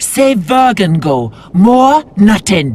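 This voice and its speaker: This is a put-on character voice with a fairly high pitch. It has very wide pitch swings. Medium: video game. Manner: broken grammar, simple words.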